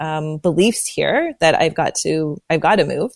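A woman with a Canadian accent talks at a moderate pace in an ordinary speaking voice, her pitch fairly low. The recording is very clean, with a silent background. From northern Alberta, Canada. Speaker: business development consultant. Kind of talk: interview.

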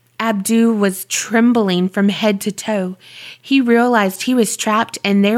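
The speaker is reading aloud. The voice is natural.

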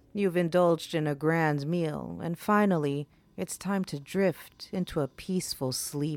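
A woman speaks in a dramatic tone with a very deep, low pitch. Her pace is fairly slow and her intonation fairly even. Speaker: podcast host. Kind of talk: scripted horror narration, spooky storytelling. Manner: slow, hushed, dramatic, ominous; theatrical, relishing gruesome details.

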